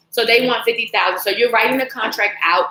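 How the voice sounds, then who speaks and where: With an American accent, a woman speaks in an animated tone at a fairly high pitch and a fairly quick pace. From Washington DC. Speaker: financial coach. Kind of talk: sales pitch. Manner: fast.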